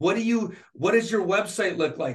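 With an American accent, a man talks at a fairly quick pace with ordinary pitch variation. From Michigan, Flint. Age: 50s. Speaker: dentist. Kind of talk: casual interview.

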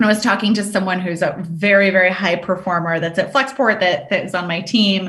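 Bright, sharp tone from a woman with an American accent, medium pitch, ordinary pitch variation, audible room echo. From US South, Richmond, Virginia. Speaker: sales executive. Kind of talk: interview. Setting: video call.

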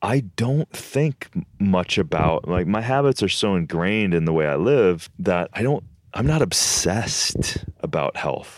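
A man with an American accent talks at a fairly slow pace and fairly low pitch, with hardly any pauses. His loudness stays very even while his pitch swings very widely. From Minnesota, US Midwest. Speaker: health and superfoods expert. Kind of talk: casual interview chat.

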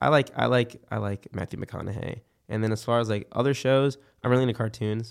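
At a fairly quick pace, a man with an American accent speaks in an ordinary speaking voice at medium pitch with fairly even intonation. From Philadelphia, US Northeast. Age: 20s. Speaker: musician and university student. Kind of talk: casual chat.

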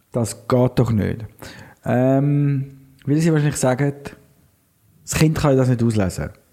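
Speaking at a fairly slow pace with long, frequent pauses, a man uses a medium pitch, a dark, mellow tone and ordinary pitch variation. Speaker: podcast co-host. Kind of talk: casual chat.

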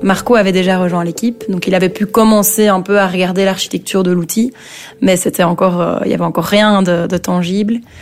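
A woman speaks fairly quickly at a medium pitch. Her intonation is fairly even, with noticeable background noise behind her. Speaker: start-up founder. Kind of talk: interview. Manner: hesitant with fillers.

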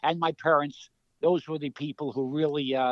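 With a New York accent, a man speaks at a fairly high pitch and with fairly even intonation. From New York City (Queens). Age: 70s. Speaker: retired college basketball coach. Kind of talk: interview.

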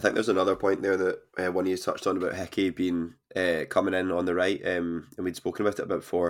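Over a silent background in a very clean recording, a man with a Scottish accent and a very deep, low pitch talks at a very fast pace in a monotone, flat delivery with hardly any pauses. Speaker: podcast host. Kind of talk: casual chat.

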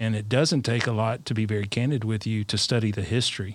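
Fairly low in pitch, a man with an Alabama accent speaks with fairly even intonation. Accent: Southern US (Alabama). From South Alabama. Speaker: leadership coach, parent. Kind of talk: panel discussion.

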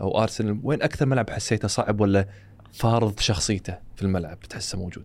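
A man with a Kuwaiti accent, fairly low-pitched, with ordinary pitch variation at a moderate pace. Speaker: podcast host. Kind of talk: podcast interview. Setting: studio.

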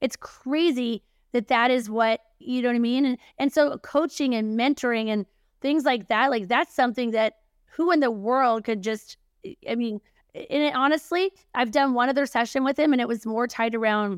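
Heard on a very clean recording with a silent background, a woman with a plain, everyday voice speaks at a moderate pace and a fairly high pitch with ordinary pitch variation. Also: dry, close sound with no echo. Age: 40s. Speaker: publishing and marketing consultant, entrepreneur. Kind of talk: casual chat.

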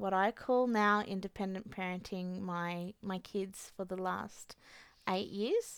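Spoken with an Australian accent, this is a very clean recording with a silent background. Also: woman. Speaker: single mother. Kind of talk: testimony. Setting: studio.

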